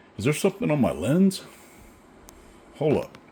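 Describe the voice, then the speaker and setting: Speaking at a moderate pace, a man with a Southern US accent sounds somewhat breathy. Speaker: RC car builder and parts maker. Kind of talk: workshop tutorial. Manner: casual, thinking aloud.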